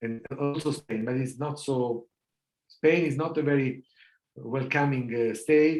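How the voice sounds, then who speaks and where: A fairly high-pitched man with an Italian accent at a fairly slow pace. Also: fairly even intonation. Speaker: law professor. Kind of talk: lecture Q&A. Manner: halting, many fillers.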